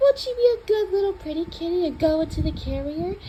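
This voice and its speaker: A soft-spoken, put-on character voice over clear background noise. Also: woman. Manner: soft, gentle, cooing.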